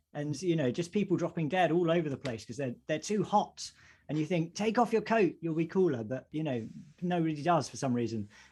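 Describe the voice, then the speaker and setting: Against a quiet background, a man with a slight Essex accent talks at a fairly quick pace, fairly high in pitch, with lively intonation. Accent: slight Essex twang. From Essex, England. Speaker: vicar and podcast co-host. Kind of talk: casual chat.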